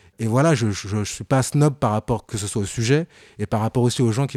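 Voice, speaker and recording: A man with a medium pitch and a dark, mellow tone talks at a very fast pace with ordinary pitch variation. The sound is dry and close with no echo, in a very clean recording with a silent background. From France, Paris suburbs housing estate. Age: 30s. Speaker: fashion journalist and content creator. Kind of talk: interview.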